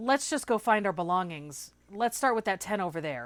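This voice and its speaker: A woman uses a put-on character voice at a medium pitch. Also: very clean recording, silent background. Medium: read story. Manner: nervous.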